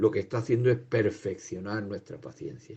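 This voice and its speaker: A man talks at a moderate pace with a fairly low pitch. His voice is somewhat breathy. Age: 60s. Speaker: lay preacher. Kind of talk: sermon.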